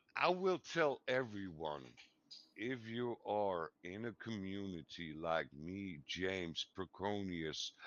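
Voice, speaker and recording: At a very slow pace, a man talks with a fairly low pitch. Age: 50s. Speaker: streaming community show host. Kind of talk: casual chat.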